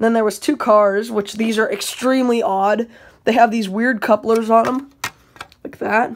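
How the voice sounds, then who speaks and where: Against a quiet background, a woman talks at a moderate pace, her pitch varying in an ordinary way. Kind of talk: casual vlog chat. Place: home room. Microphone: phone near.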